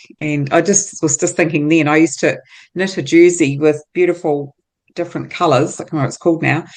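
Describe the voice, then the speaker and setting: A woman speaks in a New Zealand accent at a fairly quick pace. Her pitch is very deep and low, and her intonation fairly even. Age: 60s. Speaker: entrepreneur. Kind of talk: interview.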